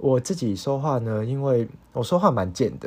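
Speaking at a fairly slow pace, a man with a medium-pitched voice uses lively intonation. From Hong Kong. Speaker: podcast host, university student. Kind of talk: solo casual monologue, unscripted. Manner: halting, many fillers.

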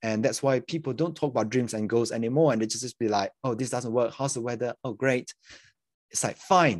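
A man's medium-pitched voice at a very fast pace, dry and close with no echo, over a quiet background. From Malaysia. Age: 20s. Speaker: crypto investor. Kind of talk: casual chat.

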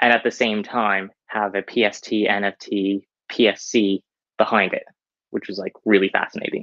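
A man talks in an ordinary speaking voice. His pace is moderate and his intonation fairly even. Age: young. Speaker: crypto founder. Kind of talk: technical explanation.

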